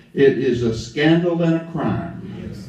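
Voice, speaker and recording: A man speaks at a very slow pace with an Alabama accent and lively intonation. Audible room echo surrounds his voice. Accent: Southern US (Alabama). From US South, lower Alabama. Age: 70s. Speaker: civil rights activist. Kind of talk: speech to a gathering.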